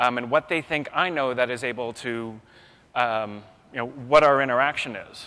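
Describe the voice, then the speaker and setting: The man's tone is bright and sharp. His pitch is medium and his pace moderate. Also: ordinary pitch variation. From US West Coast. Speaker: keynote speaker. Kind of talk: keynote lecture. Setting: stage with audience.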